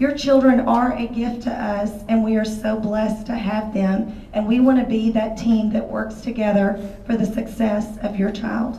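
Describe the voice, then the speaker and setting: A woman with a fairly high pitch talks at a moderate pace with hardly any pauses, her intonation monotone and flat. Noticeable background noise and audible room echo surround her voice. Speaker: elementary school teacher. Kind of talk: parent orientation talk.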